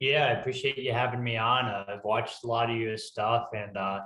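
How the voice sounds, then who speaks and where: The speaker has a strong Northeastern US accent and a bright, sharp tone. The pace is moderate. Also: man. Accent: thick Northeastern US. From US Northeast. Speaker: ultrarunner. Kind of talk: interview.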